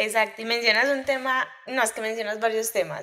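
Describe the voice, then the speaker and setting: Noticeable background noise sits behind a woman whose pitch is fairly high. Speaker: podcast host. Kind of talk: interview.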